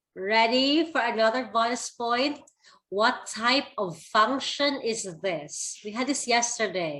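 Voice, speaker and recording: At a very slow pace, a woman speaks in a fairly high, bright, sharp voice, her pitch swinging very widely. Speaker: math teacher. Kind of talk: online class lecture.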